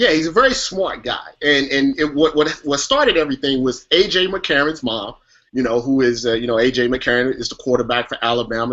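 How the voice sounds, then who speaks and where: Fairly quick speech from a man, medium in pitch, with pitch that varies in an ordinary way. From US Midwest. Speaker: sports web show host. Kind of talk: casual sports talk show. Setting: live online show.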